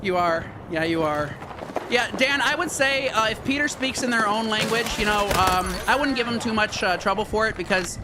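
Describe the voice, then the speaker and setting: Amid noticeable background noise and audible room echo, a man with a high pitch speaks in a raised, projected voice. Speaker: gaming streamer. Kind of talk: live stream gameplay chat. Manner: fast; casual, repetitive.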